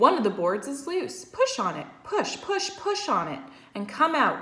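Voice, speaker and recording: A put-on character voice, female-sounding and extremely high in pitch, at a moderate pace. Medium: read story. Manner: repetitive, excitable.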